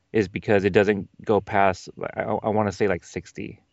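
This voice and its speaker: At a fairly low pitch and a moderate pace, a man talks in a plain, everyday voice. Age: 30s. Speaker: fellow podcaster. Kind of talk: casual chat.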